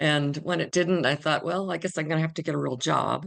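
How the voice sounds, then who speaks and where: Her voice sits very deep and low, with vocal fry and ordinary pitch variation. The woman speaks with an American accent. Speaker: mystery author. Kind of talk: interview. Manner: hesitant with repetitions.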